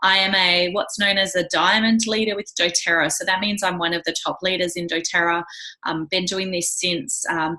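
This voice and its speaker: A woman speaks in an Australian accent with a fairly low pitch. Her tone is enthusiastic and her pace moderate. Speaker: wellness coach and direct sales leader. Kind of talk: presentation.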